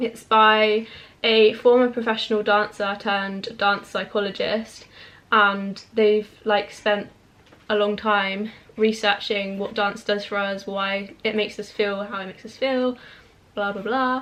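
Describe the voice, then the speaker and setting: A woman speaks at a fairly slow pace and medium pitch in a monotone, flat intonation, with big swings in loudness. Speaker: book youtuber. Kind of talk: casual chat.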